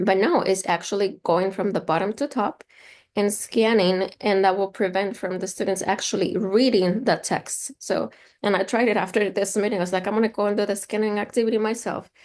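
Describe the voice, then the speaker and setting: The speaker has a Spanish accent and a fairly quick pace. Intonation stays fairly even over a quiet background. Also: woman, medium pitch for a woman. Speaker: instructional consultant. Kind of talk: online training session.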